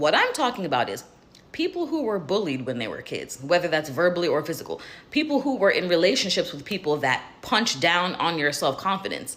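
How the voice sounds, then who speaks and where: A woman talks at a fairly quick pace in a fairly low pitch. Her pitch swings very widely. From Jamaica. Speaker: life coach, video creator. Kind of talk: casual monologue to camera. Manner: conversational, candid.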